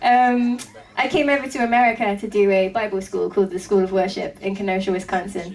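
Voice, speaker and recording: A woman talks at a fairly quick pace and medium pitch, with ordinary pitch variation. Noticeable background noise is present. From England. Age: 20s. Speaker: rock band drummer. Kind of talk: interview.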